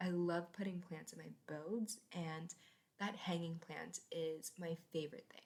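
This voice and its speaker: A woman speaks with a fairly low pitch and a somewhat breathy sound. Her intonation stays fairly even while her loudness swings widely. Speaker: gaming content creator. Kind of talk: voiceover commentary. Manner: fast.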